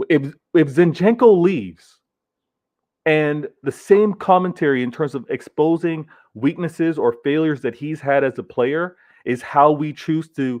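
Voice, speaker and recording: With an American accent, a man speaks in an animated tone at a fairly high pitch, a moderate pace and ordinary pitch variation. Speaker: football fan show host. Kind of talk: casual podcast discussion. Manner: animated, repetitive restarts.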